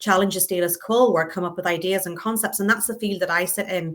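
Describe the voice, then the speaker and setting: A woman with a Northern Irish accent, a bright, sharp tone, medium pitch and fairly even intonation. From Northern Ireland. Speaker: customer experience and innovation leader. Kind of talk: interview conversation.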